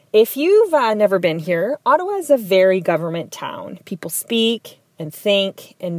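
The speaker talks with an Ontario accent and lively intonation at a moderate pace. The sound is dry and close, with no echo. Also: woman, hardly any pauses, big swings in loudness. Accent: Canadian English (Ontario). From southwestern Ontario, Canada (Tecumseh, near Windsor). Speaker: community advocate. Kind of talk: personal storytelling monologue.

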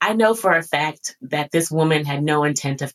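An animated woman with an American accent and a very deep, low pitch. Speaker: podcast host and spiritual coach. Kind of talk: casual interview conversation.

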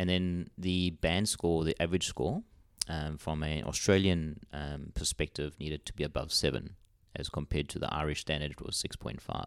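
A man's very deep, low voice at a moderate pace with fairly even intonation. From South Africa. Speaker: doctor. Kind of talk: casual chat.

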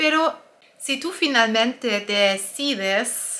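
Bright and sharp in tone, a woman's voice rises and falls with lively intonation. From Germany. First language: German (speaking Spanish). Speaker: nutritionist and health coach. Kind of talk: personal testimony and advice video.

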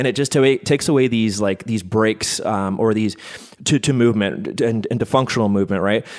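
A man talks in a normal speaking voice with a Canadian accent. His medium pitch has ordinary variation, and his pace is fairly quick. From Canada. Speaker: physical therapist. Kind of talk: casual interview. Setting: studio, sharing one microphone.

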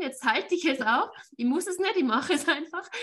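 A woman with lively intonation over noticeable background noise. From Austria. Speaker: networking entrepreneur and interview show host. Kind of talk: casual interview chat.

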